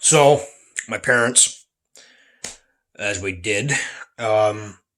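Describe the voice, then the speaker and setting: A soft-spoken man with a bright, sharp tone, medium pitch and ordinary pitch variation. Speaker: vlogger. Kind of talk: casual vlog monologue. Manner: soft-spoken, keeping voice down; halting, repeats words.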